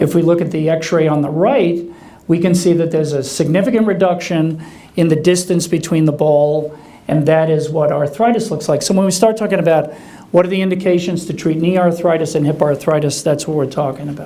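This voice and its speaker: The man's tone is dark and mellow, his intonation fairly even, and his pace fairly quick. Audible room echo surrounds his voice. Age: 60s. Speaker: orthopedic surgeon. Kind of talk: lecture. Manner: conversational, with many fillers.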